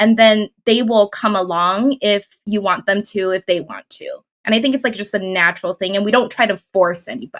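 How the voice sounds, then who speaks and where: A woman talks in a normal speaking voice at a moderate pace with ordinary pitch variation, the sound dry and close with no echo. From Taiwan, moved to US as a child. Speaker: author and spiritual teacher. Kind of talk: casual interview chat.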